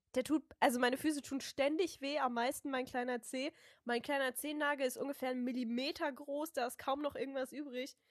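Fairly quick and flat in a monotone, a woman speaks at a high pitch. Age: 20s. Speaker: podcast co-host. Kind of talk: casual chat.

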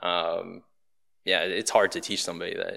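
The recording is very clean against a silent background. In it, a man talks with an American accent. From Baltimore, Maryland. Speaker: real estate agent and restaurant owner. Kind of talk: podcast interview.

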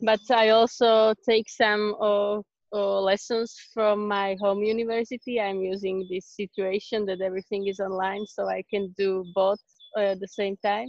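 A woman with a Slovak accent speaks at a moderate pace in a medium pitch. Her intonation stays monotone and flat. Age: 20s. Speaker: exchange student. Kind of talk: interview. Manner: halting.

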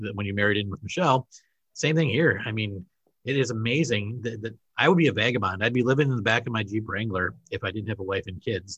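Here a man talks at a very fast pace with a Wisconsin accent. His pitch is medium, with ordinary variation. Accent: Wisconsin, northern Midwest. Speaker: podcast host, school administrator. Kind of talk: casual interview chat.

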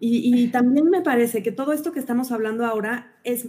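At a moderate pace, a woman speaks with a high pitch, a dark, mellow tone and ordinary pitch variation. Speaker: podcast host, adoptive mother. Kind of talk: interview.

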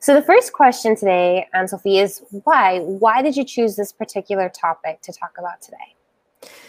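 With a normal speaking voice, a woman talks at medium pitch and a moderate pace, with lively intonation, big swings in loudness and hardly any pauses. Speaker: webcast co-host. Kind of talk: live webcast interview. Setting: office.

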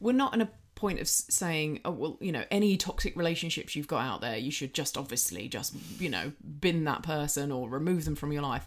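Speaking at a fairly quick pace with an English accent, a woman has a very deep, low pitch on a very clean recording with a silent background. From Britain. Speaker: personal trainer and podcast co-host. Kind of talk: casual chat.

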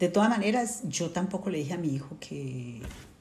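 Her voice is fairly low for a woman, dark and mellow, and somewhat breathy. She uses lively intonation, and audible echo fills the room. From Colombia. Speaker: sociologist, displaced migrant. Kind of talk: interview testimony.

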